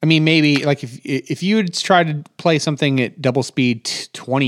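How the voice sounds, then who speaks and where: Dry and close with no echo, the recording captures a man in a plain, everyday voice at a fairly high pitch and moderate pace. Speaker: software developer podcast co-host. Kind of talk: casual technical discussion.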